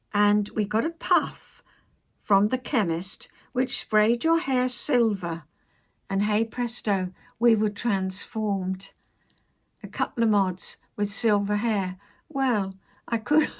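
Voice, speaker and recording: A somewhat breathy woman's voice, fairly high in pitch, very slow, with ordinary pitch variation and long, frequent pauses. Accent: London. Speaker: crafter and life-story vlogger. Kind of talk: casual talk to camera.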